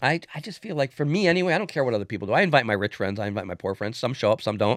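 At a very fast pace, a man speaks with very wide pitch swings in a dry, close sound with no echo. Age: 60s. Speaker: former police officer turned business executive. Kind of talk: casual interview chat.

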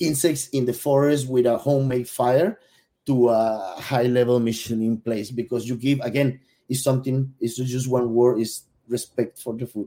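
A man with a Spanish accent, medium pitch, dark, mellow tone, fairly even intonation and a moderate pace. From Venezuela. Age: 40s. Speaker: gastronomy consultant. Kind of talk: casual interview. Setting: live stream.

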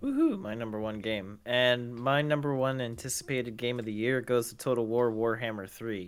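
A man with an unremarkable speaking voice and medium pitch talks at a moderate pace with fairly even intonation and hardly any pauses. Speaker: gaming podcast co-host. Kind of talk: casual chat.

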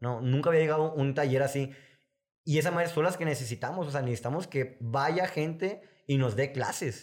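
At a fairly quick pace, a man speaks in a plain, everyday voice, fairly high in pitch, with ordinary pitch variation. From Sonora, northern Mexico. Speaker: filmmaker and music video director. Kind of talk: casual interview chat.

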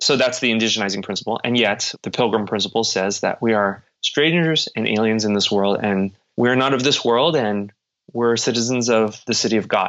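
A man with an American accent and a normal speaking voice talks at a moderate pace and medium pitch, with ordinary pitch variation and very even loudness. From United States. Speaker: professor. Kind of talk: interview.

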